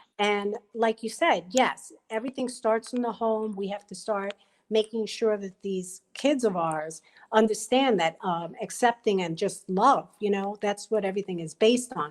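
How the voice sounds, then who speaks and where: In a New York accent, a woman talks at a moderate pace with ordinary pitch variation, recorded very cleanly against a silent background. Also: medium pitch for a woman. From Brooklyn, New York. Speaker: panelist. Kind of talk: panel discussion.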